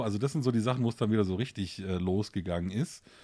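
Over a silent background in a very clean recording, a man speaks in a fairly low, dark, mellow tone. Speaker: teacher and board game podcaster. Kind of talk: casual chat. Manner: talkative.

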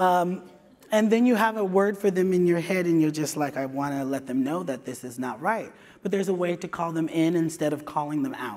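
Speaking at a moderate pace, a man with an American accent has a fairly high pitch. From California. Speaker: HR director and diversity lead. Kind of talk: conference talk. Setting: stage with audience. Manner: animated. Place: stage.

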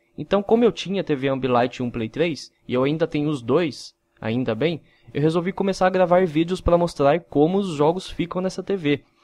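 In a normal speaking voice, a man talks at a moderate pace in a fairly high pitch with ordinary pitch variation, the sound dry and close with no echo and the background quiet. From interior of São Paulo, Brazil (Mogi Mirim). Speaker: gaming YouTuber. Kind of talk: casual vlog.

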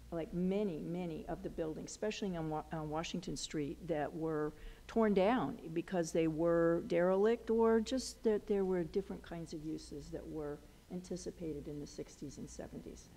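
At a moderate pace, a woman speaks with a fairly low pitch and ordinary pitch variation. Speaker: historical society host. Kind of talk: meeting introduction remarks. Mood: somber memorial tone later. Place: hall. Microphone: headset.

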